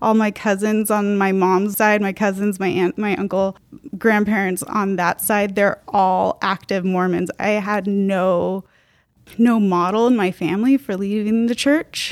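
In an American accent, a woman with an unremarkable speaking voice talks at a fairly slow pace and medium pitch. Her intonation is fairly even, on a very clean recording with a silent background. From US, outside Utah. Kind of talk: casual panel discussion.

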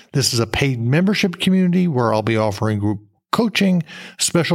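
In a very clean recording with a silent background, a man uses an ordinary speaking voice with lively intonation at a moderate pace. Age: 60s. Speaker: podcast host, career coach. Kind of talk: casual solo podcast talk.

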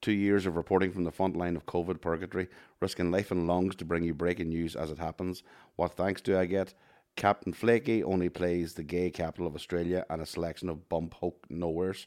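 A man with a Northern Irish accent speaks at a fairly quick pace. His very deep, low voice stays monotone and flat. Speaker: podcast co-host. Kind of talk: casual banter chat.

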